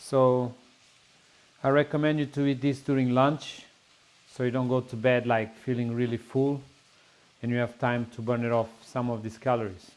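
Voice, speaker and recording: A man with a Portuguese accent speaks at a moderate pace, his medium pitch held in fairly even intonation. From Portugal. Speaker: home cook. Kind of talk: cooking tutorial. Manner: casual, slightly halting.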